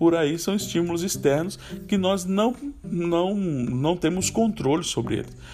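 With music playing in the background, a man speaks at a fairly slow pace. His voice is high in pitch with ordinary pitch variation. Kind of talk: devotional talk. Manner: halting.

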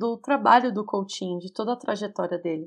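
On a very clean recording with a silent background, a woman in a Brazilian accent speaks with lively intonation. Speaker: podcast host, film reviewer. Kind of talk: scripted podcast narration. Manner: casual, chatty.

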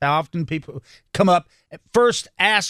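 The sound is dry and close with no echo as a man with a fairly high pitch speaks at a moderate pace, using ordinary pitch variation. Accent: North Carolina. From North Carolina, Salisbury. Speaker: radio host. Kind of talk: interview.

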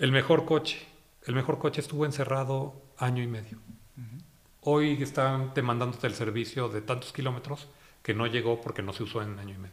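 A man speaks at a fairly quick pace with a medium pitch and ordinary pitch variation. His voice is somewhat breathy, with big swings in loudness. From Mexico, Guanajuato (Irapuato). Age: 50s. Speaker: media executive. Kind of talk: interview. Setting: at his home.

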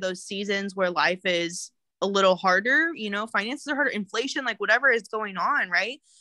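A bright, sharp tone in a Midwestern US accent at a moderate pace. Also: woman. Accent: US Midwest. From Kansas. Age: 20s. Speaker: realtor and network marketer. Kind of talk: casual chat.

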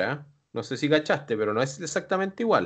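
A speaker with a Chilean accent talks at a very fast pace. The background is quiet. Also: man. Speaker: wrestling manager. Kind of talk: casual chat.

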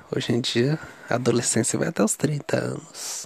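A man speaks over noticeable background noise. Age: 30s. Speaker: video diarist. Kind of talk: personal video diary. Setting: lying on mattress in bedroom. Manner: chatty, casual.

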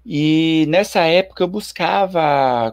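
A man speaks with lively intonation. The recording is very clean with a silent background, and the sound is dry and close with no echo. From Bahia, Brazil (Ilhéus). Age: 30s. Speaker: amateur runner and meme creator. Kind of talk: casual chat. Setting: YouTube live stream.

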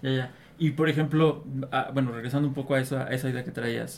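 Over noticeable background noise, a man with medium pitch talks at a fairly quick pace. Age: 30s. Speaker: guest interviewer. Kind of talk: casual chat.

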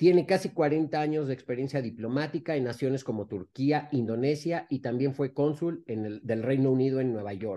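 Dark, mellow tone from a man at medium pitch, moderate pace and ordinary pitch variation, hardly any pauses, quiet background. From Mexico. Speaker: podcast co-host, former diplomat. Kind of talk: casual interview.

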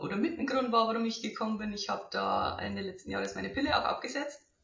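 A woman speaking at a very fast pace. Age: 20s. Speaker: coaching client. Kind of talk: testimony.

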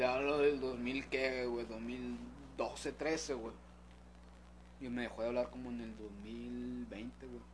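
In a Mexican accent, a man talks at a very slow pace with big swings in loudness. The room echo is audible. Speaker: podcast co-host. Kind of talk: casual chat.

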